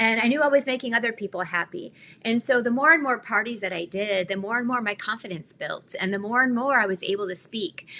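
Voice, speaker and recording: A woman talks at a very fast pace. Her voice sits at a fairly high pitch with ordinary pitch variation. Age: 50s. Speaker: craft business owner and live host. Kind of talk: live stream casual talk. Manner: halting.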